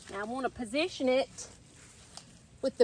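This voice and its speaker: A woman in a Southern US accent, at a fairly slow pace. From Mississippi, US South. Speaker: gardening YouTuber. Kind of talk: casual vlog tutorial. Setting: outdoors in garden. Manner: chatty, conversational.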